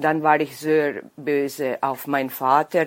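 Here a woman is speaking. Her pace is very slow. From Vojvodina, Serbia (Bač). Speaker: weightlifting referee and librarian. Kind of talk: interview. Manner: halting.

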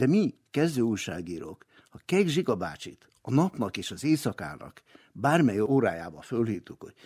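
A man's medium-pitched voice with vocal fry and very wide pitch swings, at a moderate pace, in a very clean recording with a silent background and a dry, close sound with no echo. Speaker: retired radio journalist and translator. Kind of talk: interview reminiscence.

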